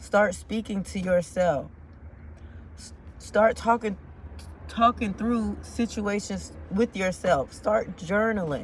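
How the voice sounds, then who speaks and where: A woman speaks at a very slow pace. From United States. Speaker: motivational vlogger. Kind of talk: casual motivational monologue. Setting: in a car in traffic.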